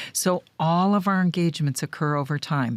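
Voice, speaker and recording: With a dry, close sound and no echo, a woman speaks at a moderate pace in a very deep, low pitch with ordinary pitch variation. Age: 60s. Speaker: business consultant. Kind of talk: interview.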